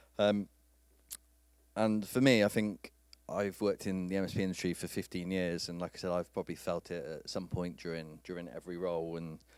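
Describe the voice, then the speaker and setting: Speaking fairly quickly in a British accent, a man has a very deep, low pitch and fairly even intonation, captured in a very clean recording with a silent background. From UK. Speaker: IT industry speaker. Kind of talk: conference talk. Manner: halting.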